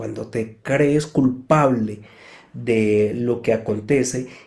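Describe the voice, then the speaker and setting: A man speaks in a calm tone at medium pitch. His voice is dark, mellow and somewhat breathy. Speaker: psychotherapist. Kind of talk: live talk answering audience questions. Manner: calm, explanatory.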